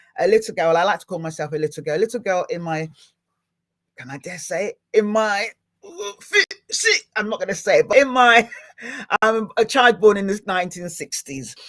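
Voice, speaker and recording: At a moderate pace and medium pitch, a woman with a South London accent talks with ordinary pitch variation, big swings in loudness and long, frequent pauses. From England, South London. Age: 60s. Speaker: podcast host, speaker. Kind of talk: live-stream talk.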